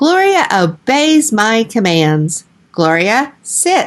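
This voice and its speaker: Putting on a character voice, a woman speaks at a very slow pace in a fairly high pitch with very wide pitch swings. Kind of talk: bedtime story. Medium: read story.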